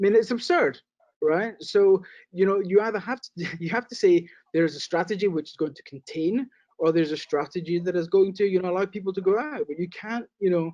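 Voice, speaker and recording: The speaker has a British accent, and the loudness swings widely. The sound is dry and close with no echo. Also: man, high pitch for a man, ordinary pitch variation, fairly quick pace. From Britain. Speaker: casino real estate investor. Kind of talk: interview.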